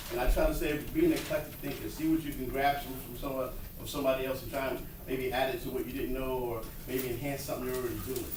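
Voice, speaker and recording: Someone talks at a very fast pace in an American accent. The room echo is audible and the background noise is noticeable. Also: man. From New York. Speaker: psychotherapist and school counselor. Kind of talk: lecture.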